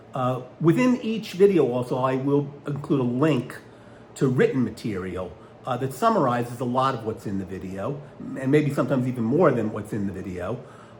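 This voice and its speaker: A man talks at a medium pitch and a fairly quick pace. His intonation is lively, and audible room echo surrounds him. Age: 60s. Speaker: attorney. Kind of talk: casual video monologue. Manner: halting, many filler words.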